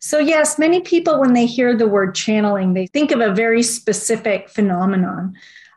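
A woman with a plain, everyday voice, fairly high in pitch, at a fairly quick pace with hardly any pauses and very even loudness. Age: 40s. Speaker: research director and naturopathic physician. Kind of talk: interview.

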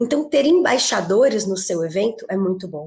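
Somewhat breathy, a woman speaks with an energetic tone. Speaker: networking group executive. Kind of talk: podcast interview.

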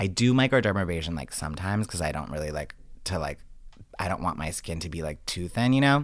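A man's very deep, low voice at a very fast pace, with very wide pitch swings, on a very clean recording with a silent background. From Rhode Island, Johnston. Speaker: celebrity hairstylist. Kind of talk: casual chat. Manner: animated.

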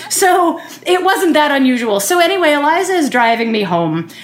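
Speaking at a moderate pace, a woman with an American accent swings her pitch very widely. Audible room echo and noticeable background noise fill the recording. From Philadelphia. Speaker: storyteller. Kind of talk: personal storytelling.

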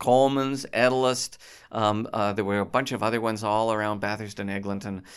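A man with a normal speaking voice talks fairly quickly at a fairly low pitch, his intonation fairly even, on a very clean recording with a silent background. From Toronto, Canada. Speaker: comedy club founder. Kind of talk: casual chat.

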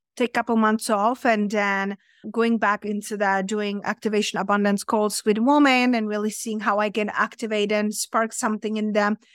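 A woman with a fairly high pitch speaks at a moderate pace, barely pausing, in a monotone, flat delivery. The sound is dry and close with no echo, and the recording is very clean against a silent background. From Czech Republic. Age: 30s. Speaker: abundance coach. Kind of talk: casual interview chat.

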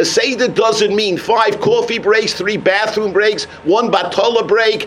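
The voice is heard with an American accent. Noticeable background noise runs underneath. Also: man. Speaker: rabbi. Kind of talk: sermon. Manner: animated.

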